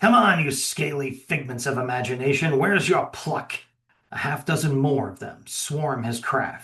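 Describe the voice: Behind this plain reading aloud, the background stays quiet.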